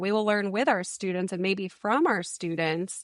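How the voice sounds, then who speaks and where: A woman speaks in a normal speaking voice with an American accent. Her pitch is medium and her pace moderate, over a quiet background. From New England, Massachusetts. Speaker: education consultant. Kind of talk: podcast interview.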